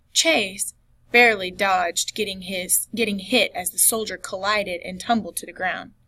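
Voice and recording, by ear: Someone is reading aloud. It is in a natural voice.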